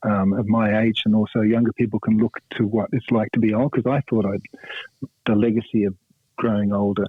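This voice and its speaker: A man with an Australian accent talks in a fairly low pitch, his intonation monotone and flat and his loudness very even. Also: fairly quick pace. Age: 60s. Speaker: rock guitarist. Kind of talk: radio interview. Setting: phone call. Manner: halting, many fillers.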